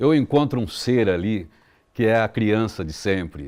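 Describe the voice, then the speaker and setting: A man's fairly low-pitched voice comes through on a very clean recording with a silent background. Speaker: radio announcer. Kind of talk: interview answer.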